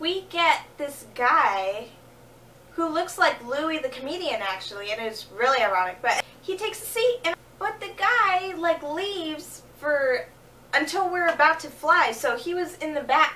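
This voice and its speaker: A woman's raised, projected voice at an extremely high pitch, very wide pitch swings, a fairly slow pace, and noticeable background noise. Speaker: vlogger. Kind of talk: casual talk to camera. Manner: low energy.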